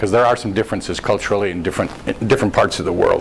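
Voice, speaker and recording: A man with an American accent speaks, and background noise is clearly audible. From United States. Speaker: internet marketing speaker. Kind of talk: presentation at a meetup. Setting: meetup room with audience. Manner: informal, joking.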